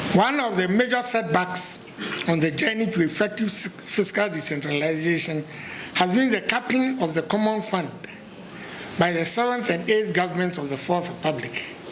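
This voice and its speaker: A man speaks at a high pitch and a moderate pace, his intonation lively. Noticeable background noise and audible room echo fill the recording. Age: 70s. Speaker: professor. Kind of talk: lecture. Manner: formal.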